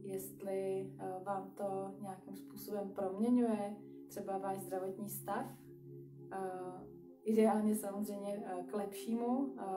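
A woman at a fairly slow pace with ordinary pitch variation, clear music in the background. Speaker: exercise instructor. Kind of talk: live stream instruction talk. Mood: calm, gentle. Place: home room. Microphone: webcam.

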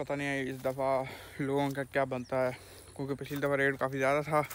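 A man speaks at a fairly quick pace with monotone, flat intonation. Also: medium pitch for a man.

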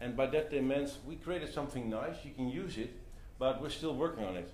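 With light background noise and audible room echo, a man with a Dutch accent and vocal fry speaks at a fairly quick pace. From Netherlands. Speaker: entrepreneur and community co-founder; presenter. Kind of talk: talk to a live audience. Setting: meetup venue with audience. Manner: halting with many fillers. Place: meeting room. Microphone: camera far.

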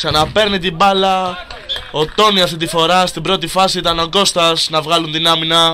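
Background noise is clearly present as a high-pitched man talks in a flat, monotone way. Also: moderate pace. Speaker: football commentator. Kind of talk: live commentary.

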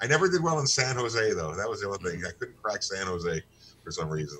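A man at fairly low pitch with a bright, sharp tone, very wide pitch swings and light background noise. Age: 60s. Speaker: comedian. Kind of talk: casual chat. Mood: joking, laughing. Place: home room. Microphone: video call.

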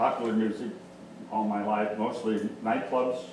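A man's fairly low, slightly mellow voice, little pitch movement, fairly slow pace, audible room echo

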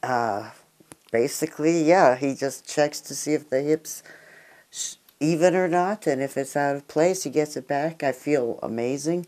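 Against a quiet background, a woman speaks in a very deep, low voice with a dark, mellow tone and long, frequent pauses. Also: ordinary pitch variation, moderate pace. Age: 50s. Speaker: patient. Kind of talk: testimony. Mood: pleased, relaxed. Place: home room. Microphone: lapel.

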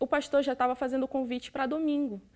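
Speech comes at a fairly quick pace. Behind it, the background stays quiet. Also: woman. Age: 20s. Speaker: church member giving testimony. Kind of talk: testimony; interview answer. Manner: halting. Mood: emotional, grateful. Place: studio.

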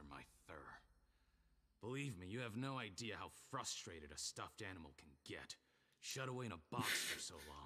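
Using a put-on character voice, a man speaks with a fairly low pitch at a moderate pace. He leaves long, frequent pauses. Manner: frustrated.

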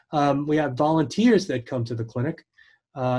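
Speaking at a fairly quick pace, a man has a dark, mellow tone that is somewhat breathy. His pitch varies in an ordinary way, and the background is quiet. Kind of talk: interview answer. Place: office. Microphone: video call.

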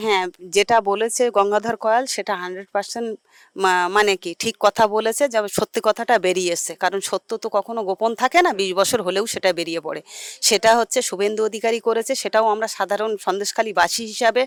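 On a very clean recording with a silent background and a dry, close sound with no echo, a woman uses an unremarkable speaking voice at a fairly high pitch with fairly even intonation. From Sandeshkhali, West Bengal. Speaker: local resident. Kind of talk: street interview.

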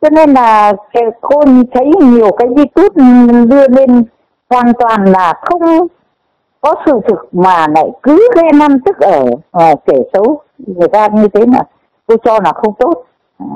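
A woman's high voice at a very slow pace, with very wide pitch swings. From northern Vietnam. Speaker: viewer sharing opinions. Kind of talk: emotional opinion rant. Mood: earnest, disapproving. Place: open country. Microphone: lapel.

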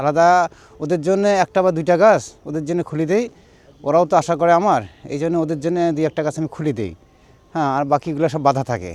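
Here is a man with a normal speaking voice, fairly high in pitch. His pitch variation is ordinary. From Rangpur, northern Bangladesh. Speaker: date palm sap collector and seller. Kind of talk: casual interview.

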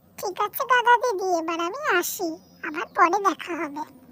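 Fairly slowly, someone delivers lines in a cartoonish character voice. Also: woman. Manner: warm, concerned.

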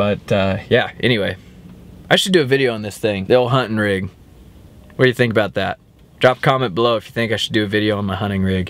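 A man's fairly low voice at a very fast pace, ordinary pitch variation, dry sound with no echo. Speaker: hunting vlogger. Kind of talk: casual vlog chat. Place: car. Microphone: phone near.

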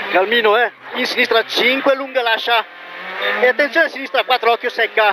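Raising and projecting his voice at an extremely high pitch, a man speaks at a moderate pace with fairly even intonation, very even loudness and long, frequent pauses, the sound dry with no echo but noticeable background noise. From Italy. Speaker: rally co-driver reading pace notes. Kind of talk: rally co-driver reading pacenotes aloud. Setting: in a rally car. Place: car. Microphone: helmet.

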